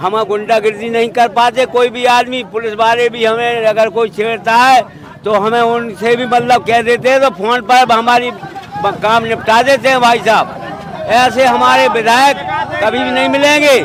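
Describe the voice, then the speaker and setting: The speech runs on with hardly any pauses and fairly even intonation. Crowd noise fills the background. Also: man, extremely high pitch for a man. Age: 70s. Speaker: villager at a public forum. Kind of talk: vox pop interview.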